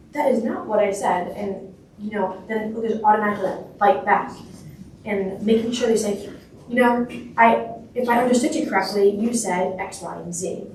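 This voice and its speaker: A woman speaks at a medium pitch and a moderate pace with fairly even intonation. Noticeable background noise and audible room echo surround her. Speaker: youth representative, panel speaker. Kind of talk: panel talk.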